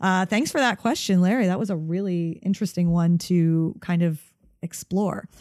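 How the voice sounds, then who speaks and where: A woman talks in an ordinary speaking voice at medium pitch, with ordinary pitch variation and a moderate pace. Her loudness stays very even on a very clean recording with a silent background. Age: 40s. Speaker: podcast host; athlete. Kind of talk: solo podcast Q&A monologue. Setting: studio recording.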